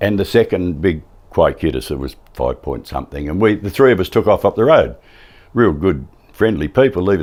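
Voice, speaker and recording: A man with a strong Australian accent speaks with lively intonation and vocal fry. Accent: broad Australian. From Western Australia, wheatbelt. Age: 70s. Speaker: retired farmer and former radio man. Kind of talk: interview, personal recollection.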